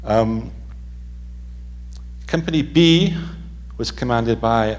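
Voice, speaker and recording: Man with an English accent, audible room echo and noticeable background noise. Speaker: author and historian. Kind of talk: lecture.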